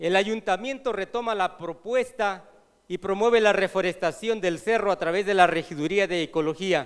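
Over a quiet background, a man talks in a high pitch with ordinary pitch variation. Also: moderate pace. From Mexico, Morelos; Mexico. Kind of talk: reading a prepared report aloud. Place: hall. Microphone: podium.

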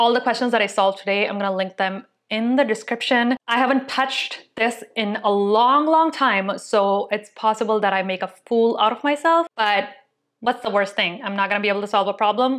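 The woman talks at a fairly quick pace with ordinary pitch variation, and the background is quiet. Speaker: tech video creator. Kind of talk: casual vlog chat, then tutorial. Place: home room. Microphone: lapel.

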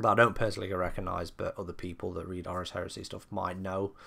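With a British accent, a man speaks in a bright, sharp voice on a very clean recording with a silent background. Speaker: book reviewer. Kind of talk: casual review talk to camera.

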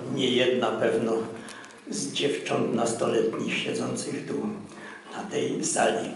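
A man speaking at a very slow pace, with audible room echo and light background noise. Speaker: event host. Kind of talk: formal speech. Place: hall.

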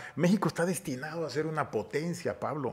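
Heard over a quiet background, a man with a fairly high pitch talks at a moderate pace. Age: 50s. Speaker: politician. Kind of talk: casual interview chat. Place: studio. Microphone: studio mic.

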